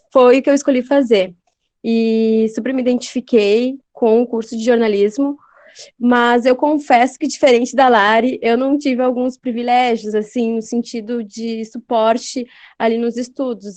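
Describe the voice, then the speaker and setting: In a quiet background, a woman with an unremarkable speaking voice speaks at a fairly high pitch, a fairly slow pace and with fairly even intonation. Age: 20s. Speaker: journalist. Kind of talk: interview.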